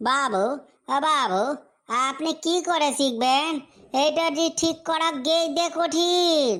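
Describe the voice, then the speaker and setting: This is a cartoonish character voice with a high pitch. It moves at a fairly slow pace. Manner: deferential, keeps repeating the form of address for his master.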